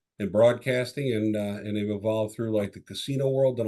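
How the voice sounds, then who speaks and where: A man with a Chicago accent talks at a very fast pace. His fairly low voice has a dark, mellow tone. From Chicago area, US Midwest. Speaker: tech sales executive. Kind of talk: podcast interview.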